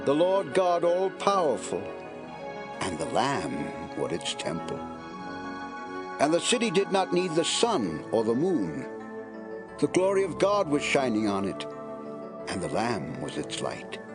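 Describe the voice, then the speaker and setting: Music plays in the background while the speaker talks at a fairly slow pace with long, frequent pauses. The pitch swings very widely. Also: man, fairly high pitch for a man. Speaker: narrator. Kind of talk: dramatic scripture reading.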